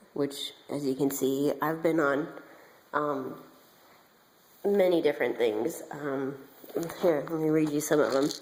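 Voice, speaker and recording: A woman speaks at a fairly slow pace with long, frequent pauses. Her voice is very deep and low, with fairly even intonation. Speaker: beauty vlogger. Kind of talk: personal testimony vlog. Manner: hesitant, many fillers.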